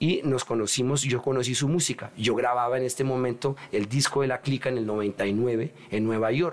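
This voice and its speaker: There is noticeable background noise as a man speaks at a medium pitch. His pitch varies in an ordinary way. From Paris, France, Colombian parents. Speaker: rapper. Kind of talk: casual chat.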